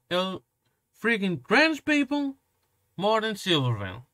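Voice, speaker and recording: A man's raised, projected voice, bright and sharp in tone, with very wide pitch swings, dry and close with no echo, on a very clean recording with a silent background. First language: Portuguese. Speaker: commentary youtuber. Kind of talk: reaction commentary rant. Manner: animated.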